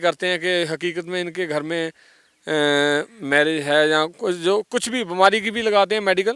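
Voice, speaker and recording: This man's voice is high-pitched, bright and sharp, with ordinary pitch variation and a dry, close sound with no echo. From Punjab. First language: Punjabi (speaking Hindi). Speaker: former gangster turned singer. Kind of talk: interview. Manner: halting, many fillers.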